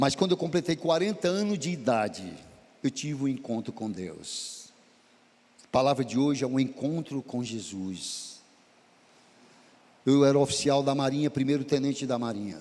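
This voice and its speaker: A man's fairly high, dark and mellow voice with lively intonation and long, frequent pauses. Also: moderate pace. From Brazil, Ceará (Sobral). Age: 60s. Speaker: pastor. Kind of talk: sermon.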